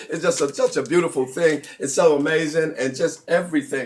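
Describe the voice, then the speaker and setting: An animated man's voice, fairly high-pitched, over noticeable background noise. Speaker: conference call host. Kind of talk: live broadcast hosting. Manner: fast.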